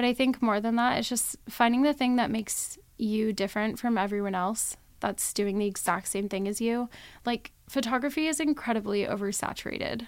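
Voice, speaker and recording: A woman with an ordinary speaking voice talks at a fairly high pitch and a fairly quick pace. Her pitch varies in an ordinary way on a very clean recording with a silent background. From Las Vegas, Nevada, US. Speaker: photographer. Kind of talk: interview. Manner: laughs often.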